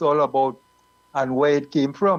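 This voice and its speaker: In a Trinidadian accent, a man talks at a fairly quick pace with fairly high pitch. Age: 70s. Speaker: calypso group member. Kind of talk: panel discussion.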